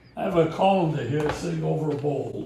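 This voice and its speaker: A man speaks with a Boston accent. There is audible room echo. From Boston, US (Sicilian-American family). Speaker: home cook teaching recipes. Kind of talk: cooking tutorial. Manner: casual, with fillers.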